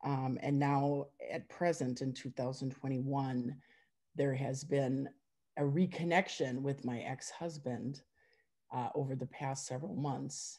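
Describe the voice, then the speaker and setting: A very slow, fairly even delivery in an Upper Midwest accent, dark and mellow in tone against a quiet background. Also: woman, very deep, low pitch for a woman. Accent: Upper Midwest American. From Wisconsin. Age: 50s. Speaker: forum member sharing personal story; interviewee. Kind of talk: testimony. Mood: reflective, personal. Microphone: video call.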